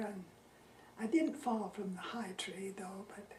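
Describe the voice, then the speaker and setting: At a fairly slow pace, the speech comes with audible room echo and noticeable background noise. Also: woman. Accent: American. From Utah. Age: 80s+. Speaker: retired teacher interviewed about local history. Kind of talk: oral history interview. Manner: halting.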